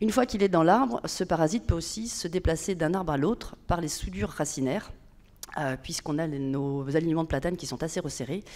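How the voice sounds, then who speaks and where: On a very clean recording with a silent background, a woman with a fairly low pitch talks at a fairly quick pace with lively intonation. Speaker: public agency manager. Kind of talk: conference talk. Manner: fast; hesitant.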